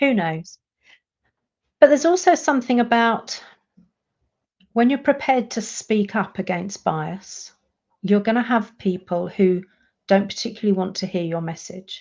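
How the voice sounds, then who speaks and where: Speaking in a British accent with lively intonation, a woman is heard against a quiet background. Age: 60s. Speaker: coach for introverts. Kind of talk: live stream monologue.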